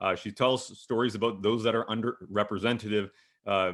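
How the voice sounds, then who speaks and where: A man's normal speaking voice at medium pitch, with a Canadian accent and a fairly quick pace. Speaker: panel moderator and hockey broadcaster. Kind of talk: panel discussion moderation.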